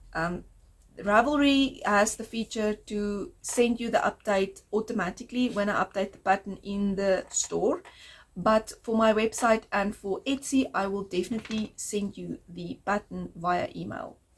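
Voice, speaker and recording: Somewhat breathy speech at a fairly slow pace with ordinary pitch variation. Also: woman, medium pitch for a woman. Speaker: knitting podcaster. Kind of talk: casual video podcast monologue.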